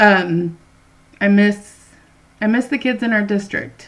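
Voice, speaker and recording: Ordinary pitch variation with an American accent. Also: woman. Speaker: school librarian reading books to kids. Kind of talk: casual talk to children before reading aloud. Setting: at home. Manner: loud; animated.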